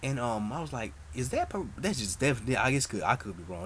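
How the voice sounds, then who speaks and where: Quietly, a man speaks at a very fast pace. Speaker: soap opera vlogger. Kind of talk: casual chat. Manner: low, quiet voice; halting, many fillers.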